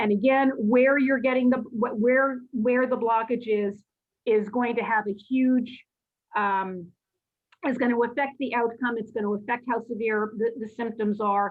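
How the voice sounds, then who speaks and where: A woman's unremarkable speaking voice, fairly high in pitch, at a fairly slow pace with fairly even intonation. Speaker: lecturer on cardiology. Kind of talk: lecture.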